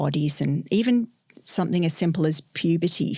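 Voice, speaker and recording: This woman's voice carries ordinary pitch variation, captured in a very clean recording against a silent background. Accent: Australian. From Australia. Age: 50s. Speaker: sex educator. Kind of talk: podcast interview. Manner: hesitant, many filler ums.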